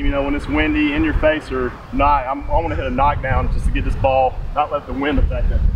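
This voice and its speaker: Fairly quick speech against noticeable background noise. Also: man. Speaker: golf instructor. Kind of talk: tutorial. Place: open country. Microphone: camera far.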